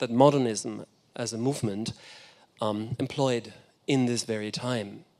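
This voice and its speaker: Over a silent background in a very clean recording, a man speaks with a German accent. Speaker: architecture critic and lecturer. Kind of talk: lecture. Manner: halting, many fillers and restarts.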